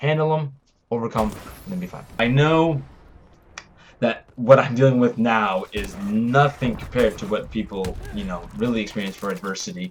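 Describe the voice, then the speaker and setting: Here a man talks with lively intonation. His loudness swings widely. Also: medium pitch for a man. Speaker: vlogger, fitness and martial arts creator. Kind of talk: motivational vlog talk. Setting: cold house with no heat. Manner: fast.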